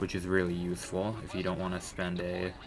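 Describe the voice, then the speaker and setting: Music plays behind a man with a very deep, low pitch. His intonation is monotone and flat. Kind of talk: gaming commentary voiceover. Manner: quiet, hesitant.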